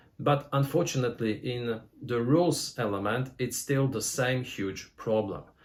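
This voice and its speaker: This man's voice is somewhat breathy, and he talks at a moderate pace. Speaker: board game reviewer. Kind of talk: review. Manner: halting.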